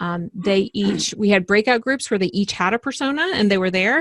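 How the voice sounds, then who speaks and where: The sound is dry and close with no echo as a woman speaks at medium pitch with ordinary pitch variation. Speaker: workshop facilitator. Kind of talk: webinar presentation. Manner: fast.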